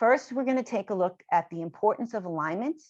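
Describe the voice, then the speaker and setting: Over a quiet background, a woman with a New York accent speaks at a fairly quick pace with lively intonation. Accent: heavy New York. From New York, Long Island. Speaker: education author and trainer. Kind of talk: lecture.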